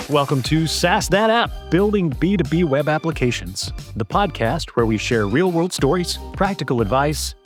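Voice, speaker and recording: With music in the background, the voice moves through very wide pitch swings at very even loudness and with hardly any pauses. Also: man, fairly high pitch for a man, moderate pace. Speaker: podcast co-host. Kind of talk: podcast intro.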